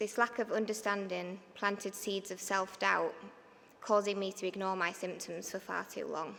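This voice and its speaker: A woman with a Yorkshire accent speaks at a medium pitch in a bright, sharp tone with monotone, flat intonation. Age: 30s. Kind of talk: prepared speech read from notes.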